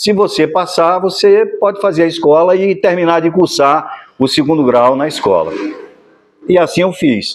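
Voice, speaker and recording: A man talks at a fairly slow pace with a high pitch. His loudness stays very even, and his pitch varies in an ordinary way. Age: 60s. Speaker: actor and musician. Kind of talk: documentary interview.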